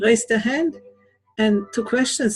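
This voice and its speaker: Moderate pace, very wide pitch swings and a non-native accent over music in the background. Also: woman. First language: not English. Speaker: conference speaker. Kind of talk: talk rehearsal on integral theory. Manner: halting, searching for words.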